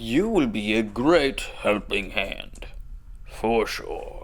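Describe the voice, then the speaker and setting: Over light background noise, a man puts on a character voice and speaks at a very slow pace. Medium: actual play. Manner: warm, friendly.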